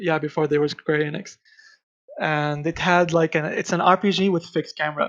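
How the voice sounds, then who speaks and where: Over a quiet background, a man with a non-native accent talks at a fairly quick pace and a high pitch, with fairly even intonation. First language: not English. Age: 20s. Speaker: game designer. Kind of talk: interview. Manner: halting.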